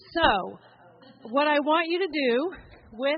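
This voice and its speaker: A woman speaks fairly slowly in a high voice with lively intonation. Noticeable background noise runs under her. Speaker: fundraising officer and club member. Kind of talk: conference talk. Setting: stage with audience.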